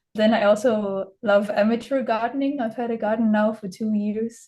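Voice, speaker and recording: Speaking fairly slowly with a Danish accent, a woman uses a fairly high, somewhat breathy voice with a dark, mellow tone and fairly even intonation. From Denmark, southern Jutland. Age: 20s. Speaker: student and teacher. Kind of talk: presentation. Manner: hesitant, many fillers.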